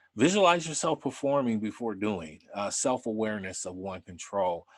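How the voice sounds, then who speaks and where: A plain, everyday voice from a man, fairly low in pitch, with lively intonation at a fairly slow pace. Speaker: conference speaker, retired criminal profiler. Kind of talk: lecture.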